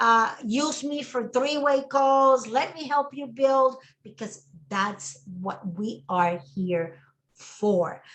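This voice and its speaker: Very slowly and somewhat breathily, a woman with a Spanish accent speaks with lively intonation. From Puerto Rico. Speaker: network marketing trainer. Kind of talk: casual chat. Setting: video call.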